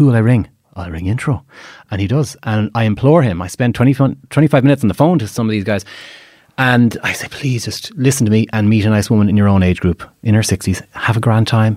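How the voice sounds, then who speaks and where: A man at medium pitch with an Irish accent, very fast pace, on a very clean recording with a silent background. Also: ordinary pitch variation. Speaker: matchmaker. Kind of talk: casual chat. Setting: studio.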